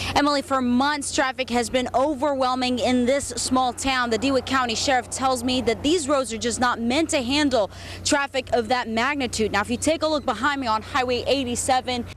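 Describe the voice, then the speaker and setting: A woman with an American accent at a high pitch, fairly quick and fairly even in intonation, with very even loudness, hardly any pauses, and noticeable background noise. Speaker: news anchor and reporter. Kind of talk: field reporter live stand-up.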